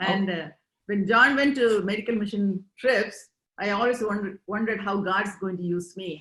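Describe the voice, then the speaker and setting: A woman with an Indian accent speaks at a moderate pace with fairly even intonation. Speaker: interviewee, immigrant. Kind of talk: interview.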